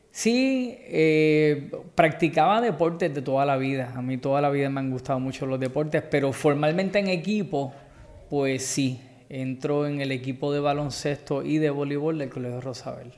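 The pitch variation is ordinary, in a normal speaking voice. Delivery comes at a moderate pace. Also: man, fairly high pitch for a man. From Puerto Rico, Guaynabo. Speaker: dive business owner. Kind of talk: casual interview.

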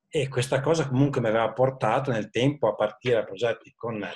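The man's voice is somewhat breathy. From Italy, Modena (Emilia). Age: 40s. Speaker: IT manager. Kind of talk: interview.

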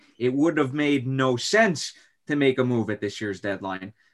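Against a quiet background, a man with a plain, everyday voice talks at a moderate pace in a medium pitch, his intonation lively. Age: 20s. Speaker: podcast host as guest. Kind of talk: casual sports podcast discussion.

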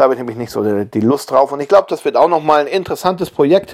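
A man's fairly high voice, relaxed in tone, at a fairly quick pace. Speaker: YouTuber and woodworking podcaster. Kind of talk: casual monologue. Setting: lying in bed at home. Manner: relaxed, hesitant with fillers.

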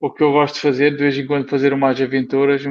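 This is a man speaking. His pitch is fairly high. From northern Portugal, Porto area. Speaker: comic book artist and amateur rally rider. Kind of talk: casual chat.

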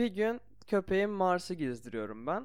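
Speaking at a moderate pace, a man makes very wide pitch swings. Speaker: podcast host. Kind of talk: casual chat.

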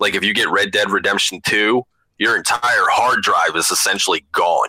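In a dry, close sound with no echo, a man with an American accent talks at a fairly quick pace. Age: 30s. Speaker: podcast co-host, comic book collector. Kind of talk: casual chat.

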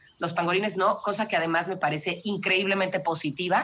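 A woman with a Mexican accent talks at a medium pitch. Her pace is very fast. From Mexico (Mexico City, raised in Cancún). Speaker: wildlife conservationist. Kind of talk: interview conversation.

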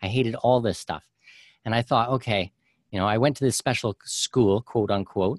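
Against a quiet background, with a dry, close sound and no echo, a man with an unremarkable speaking voice talks at a moderate pace and medium pitch. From Canada. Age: 30s. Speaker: author and podcast host on expat tax strategy. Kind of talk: interview.

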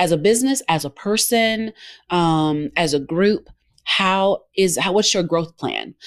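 A woman speaks with a Southern US accent at a fairly low pitch and a fairly slow pace. The very clean recording has a silent background. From Georgia, US South. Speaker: business owner and broadcast consultant. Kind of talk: interview.

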